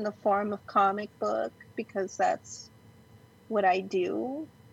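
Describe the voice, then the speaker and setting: A woman's somewhat breathy voice with a Californian accent, fairly high pitch, ordinary pitch variation and a very slow pace. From Los Angeles, raised in Glendale. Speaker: comic book artist. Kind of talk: casual chat.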